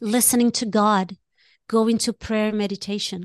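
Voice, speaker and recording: Over a quiet background with a dry, close sound and no echo, a woman with a fairly high pitch talks at a moderate pace in an animated tone. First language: not English. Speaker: life coach. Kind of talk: casual chat.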